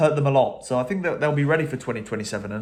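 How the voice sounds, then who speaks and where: A man with an English accent at a very fast pace, amid noticeable background noise and audible room echo. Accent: English accent when speaking. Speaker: rugby commentator. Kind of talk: casual post-match reaction monologue. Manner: hesitant, many fillers and repeats.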